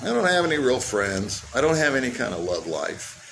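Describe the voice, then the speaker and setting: There is noticeable background noise and audible room echo. A man with an American accent speaks with very wide pitch swings. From United States. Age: 60s. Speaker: expat. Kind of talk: personal testimony. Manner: halting, many fillers and repeats.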